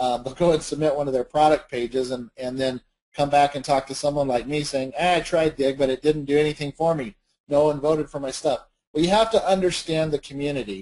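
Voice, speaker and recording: Moving at a fairly quick pace, a man speaks in a fairly high pitch with ordinary variation and a dark, mellow tone. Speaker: webinar presenter on social media marketing. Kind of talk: webinar presentation. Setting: online webinar. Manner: fast; animated.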